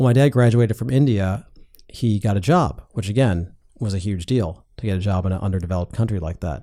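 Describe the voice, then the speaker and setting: A man's fairly low, dark and mellow voice with an American accent, at a very fast pace with ordinary pitch variation, in a very clean recording with a silent background. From US Midwest (North Shore of Chicago). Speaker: tech investor and entrepreneur. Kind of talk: casual interview. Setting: studio.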